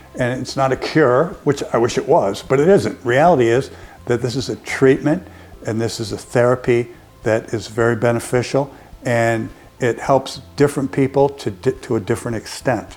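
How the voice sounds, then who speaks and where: Over music in the background, a man with an American accent talks at a moderate pace, his medium pitch showing ordinary variation. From US West Coast, San Francisco Bay Area. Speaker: patient giving testimonial, college instructor. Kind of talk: testimony. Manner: halting, with fillers and repetitions.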